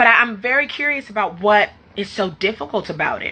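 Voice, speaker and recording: With ordinary pitch variation, a woman speaks at a fairly high pitch in an animated, bright, sharp tone. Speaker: life coach for entrepreneurs. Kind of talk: live stream talk to viewers. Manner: fast.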